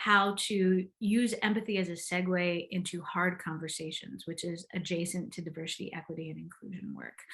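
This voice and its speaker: A woman's fairly low-pitched voice with vocal fry, big swings in loudness and a moderate pace. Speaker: empathy coach. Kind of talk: interview answer.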